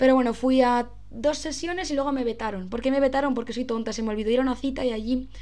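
The speech runs very fast with hardly any pauses. Its intonation is fairly even. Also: woman, high pitch for a woman. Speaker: podcaster. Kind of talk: casual monologue. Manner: stumbling over words.

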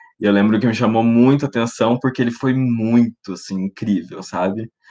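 A fairly low-pitched man speaks at a moderate pace with ordinary pitch variation in a dry, close sound with no echo. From Paraná, Brazil. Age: 20s. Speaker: public relations professional, branding studio co-founder. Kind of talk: interview. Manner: hesitant, with frequent repetitions.

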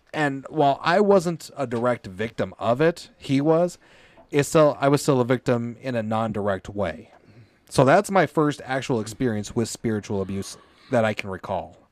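With an American accent, a man talks at a medium pitch and moderate pace with lively intonation, in a plain, everyday voice. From US, Colorado and Indiana. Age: 30s. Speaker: podcast host, former Pentecostal church member. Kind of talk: testimony interview. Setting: live stream.

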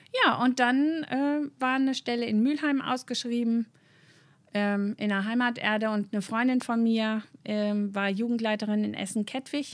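With a normal speaking voice, a woman speaks at a moderate pace in a fairly high pitch and fairly even intonation, captured in a very clean recording with a silent background. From north-west Germany, between Osnabrück and Münster. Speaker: church youth worker, theologian. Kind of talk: interview.

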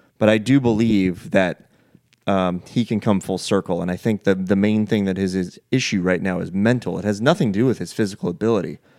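An unremarkable speaking voice from a man with an American accent, fairly low in pitch with ordinary variation, at a fairly quick pace on a very clean recording with a silent background. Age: 40s. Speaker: golf podcast host. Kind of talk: casual chat.

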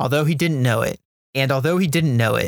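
In a dramatic tone and an American accent, a man speaks with ordinary pitch variation, his voice dry and close with no echo in a very clean recording over a silent background. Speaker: naval history podcaster. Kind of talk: history documentary narration. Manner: dramatic, vivid storytelling; measured, steady pace.

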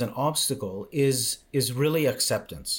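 Somewhat breathy and fairly high in pitch, a man's voice comes through. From Canada. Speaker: mindset coach. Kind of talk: interview conversation. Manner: halting, repetitive.

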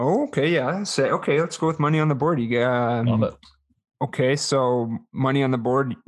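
Against a quiet background, a man with a Canadian accent speaks in an unremarkable speaking voice, medium in pitch, with ordinary pitch variation and very even loudness. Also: moderate pace. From Winnipeg, Canada. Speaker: podcast co-host, former hockey player. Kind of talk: casual chat.

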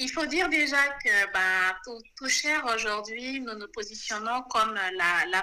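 Over noticeable background noise, a woman with a fairly high voice talks at a fairly slow pace using lively intonation. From Senegal. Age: 30s. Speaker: marketing director. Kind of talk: interview.

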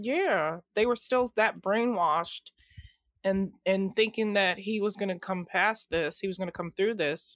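A woman speaks at a fairly slow pace in an unremarkable speaking voice of medium pitch, with a dry, close sound with no echo on a very clean recording with a silent background. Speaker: podcast guest. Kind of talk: casual chat.

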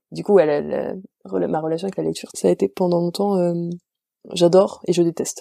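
A woman speaks at a fairly quick pace in a dry, close sound with no echo. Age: 20s. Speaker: literature graduate and bookseller. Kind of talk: casual interview.

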